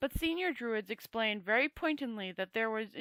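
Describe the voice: Lively intonation in plain reading aloud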